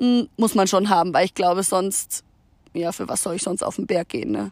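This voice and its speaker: The recording is very clean, with a silent background. A woman's voice comes through dry and close, with no echo. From Munich area, Bavaria. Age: young. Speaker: hiking guest, works with children. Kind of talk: casual interview. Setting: outdoors on a mountain meadow.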